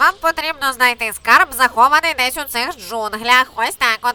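At a moderate pace, a woman performs a cartoonish character voice pitched high. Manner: lively, announcing.

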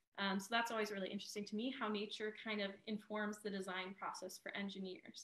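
In a room with audible echo, a woman with a medium pitch talks at a very fast pace in a monotone, flat intonation, with hardly any pauses. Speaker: museum educator. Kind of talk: educational presentation. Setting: video call. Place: home room. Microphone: video call.

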